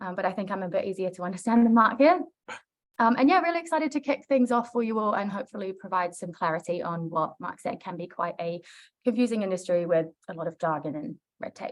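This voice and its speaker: A woman with a New Zealand accent speaks very fast at a medium pitch, her intonation lively and her loudness swinging widely. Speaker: project consultant. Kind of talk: webinar presentation. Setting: online webinar.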